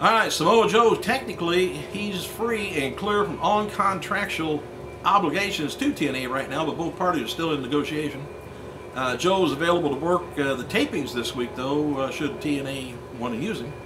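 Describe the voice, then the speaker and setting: A moderately paced man's voice with noticeable background noise. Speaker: wrestling news reporter. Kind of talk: news report commentary. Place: office.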